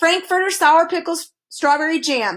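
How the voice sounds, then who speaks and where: The woman puts on a character voice pitched extremely high, moving at a moderate pace. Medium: read story. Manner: suspicious muttering.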